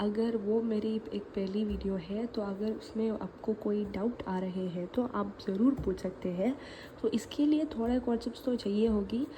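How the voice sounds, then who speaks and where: A woman's fairly high voice with a Malayali accent and ordinary pitch variation, over noticeable background noise. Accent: Malayali accent in Hindi. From Kerala, India. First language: Malayalam (speaking Hindi). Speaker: maths teacher. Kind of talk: tutorial. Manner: casual, conversational.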